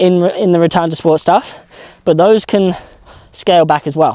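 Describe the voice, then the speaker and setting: A high-voiced man with a dark, mellow tone at a fairly quick pace. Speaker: knee strength coach. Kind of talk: tutorial. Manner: fast.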